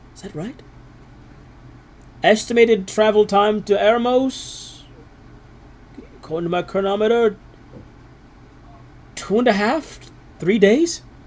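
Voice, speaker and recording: Using a put-on character voice, a man speaks high and shaky at a moderate pace, broken by long, frequent pauses. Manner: nervous, hesitant.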